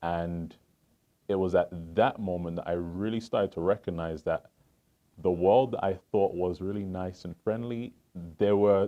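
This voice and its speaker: A man with a slight English accent speaks fairly slowly at a fairly low pitch, with ordinary pitch variation. His speech has long, frequent pauses, and music plays in the background. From England, Southeast London. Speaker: financial advisor. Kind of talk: interview.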